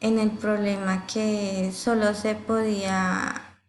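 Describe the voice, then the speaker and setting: With audible room echo, a medium-pitched woman speaks in a monotone, flat way. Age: 20s. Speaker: university student. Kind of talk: class presentation. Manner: halting, with fillers.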